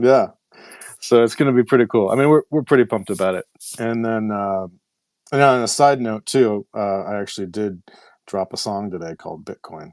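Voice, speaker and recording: A man with a normal speaking voice talks fairly quickly at a fairly low pitch, with ordinary pitch variation and big swings in loudness. The sound is dry and close with no echo, and the background is quiet. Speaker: AI compute startup founder and songwriter. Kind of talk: casual chat.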